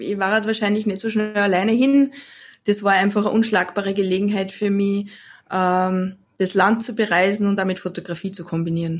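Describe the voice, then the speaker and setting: A woman's medium-pitched voice with an Austrian accent, at a fairly quick pace, in a very clean recording against a silent background. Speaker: photographer. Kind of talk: interview.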